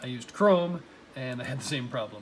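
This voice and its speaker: A man mumbling at a moderate pace. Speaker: college teacher. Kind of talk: tutorial. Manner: casual, filler-heavy.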